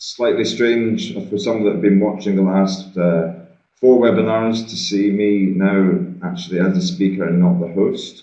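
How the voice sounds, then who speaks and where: A man with a Scottish accent speaks at a fairly low pitch with ordinary pitch variation. Audible room echo surrounds his voice. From Scotland. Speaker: trade finance trainer. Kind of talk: webinar presentation. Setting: video call from shared meeting room.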